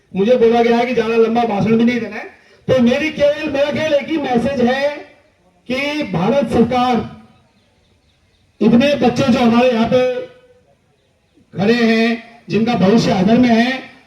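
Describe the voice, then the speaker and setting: Fairly even intonation broken by long, frequent pauses, with audible room echo. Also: man, extremely high pitch for a man. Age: 60s. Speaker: retired army officer and activist. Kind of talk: protest speech. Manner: impassioned.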